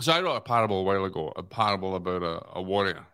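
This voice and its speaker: In a very clean recording with a silent background, a man with a Scottish accent speaks in a very deep, low pitch, his tone bright and sharp and his intonation monotone and flat. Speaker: podcast guest. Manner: storytelling, earnest.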